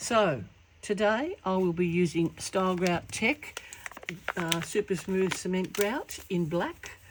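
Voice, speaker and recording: Noticeable background noise sits behind a woman with a medium pitch speaking at a very slow pace. Her loudness stays very even, with ordinary pitch variation. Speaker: mosaic artist. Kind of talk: tutorial. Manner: halting with fillers.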